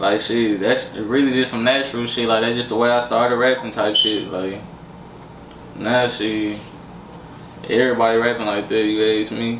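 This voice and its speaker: The speech comes at a moderate pace in a flat monotone, broken by long, frequent pauses, with audible room echo and light background noise. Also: man, medium pitch for a man. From Minnesota and Texas. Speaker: rapper. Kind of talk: casual interview. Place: kitchen.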